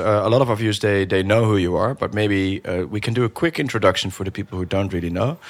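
Speaking with a Dutch accent, a man talks. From Netherlands. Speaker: podcast host. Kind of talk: podcast interview.

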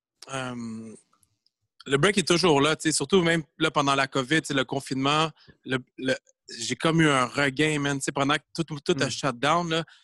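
A man's bright, sharp voice sits at a fairly high pitch, moving at a fairly slow pace with fairly even intonation. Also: dry, close sound with no echo. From Quebec, Granby. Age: 40s. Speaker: breakdancer. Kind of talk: casual chat.

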